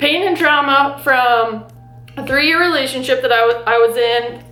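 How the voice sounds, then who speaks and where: Over noticeable background noise and audible room echo, a woman with a high pitch talks at a moderate pace with ordinary pitch variation. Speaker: lifestyle vlogger. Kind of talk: personal vlog monologue. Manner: halting.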